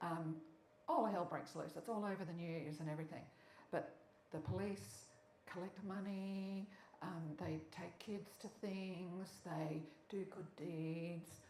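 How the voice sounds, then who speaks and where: Speaking at a very slow pace with an Australian accent, a woman with a fairly low pitch is heard over noticeable background noise. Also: ordinary pitch variation. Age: 70s. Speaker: intersex advocate. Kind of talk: public lecture.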